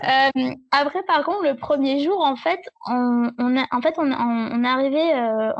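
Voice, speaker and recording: Delivery comes at a very slow pace, with very even loudness and ordinary pitch variation. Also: woman. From southern France. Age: 20s. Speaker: blogger and freelance web writer. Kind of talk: casual interview. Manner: halting.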